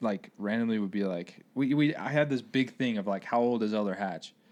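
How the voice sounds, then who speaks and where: A man with a normal speaking voice, ordinary pitch variation and a fairly quick pace. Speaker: high school track coach. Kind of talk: casual chat.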